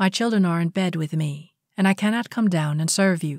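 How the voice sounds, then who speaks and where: A woman's plain, everyday voice at a fairly low pitch and moderate pace, very clean and silent in the background, with a dry, close sound and no echo. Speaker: audiobook reader. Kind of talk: audiobook reading of a spiritual lecture.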